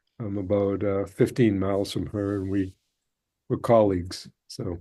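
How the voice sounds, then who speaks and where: A man with an American accent in a dark, mellow tone, at a fairly low pitch and a moderate pace, with fairly even intonation, on a very clean recording with a silent background. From Massachusetts. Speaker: therapist. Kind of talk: casual discussion group.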